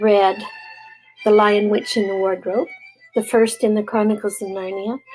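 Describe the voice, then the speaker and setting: Moderate-paced speech from a woman, backed by music in the background. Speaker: grandmother reading aloud to grandchildren. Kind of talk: casual talk to camera.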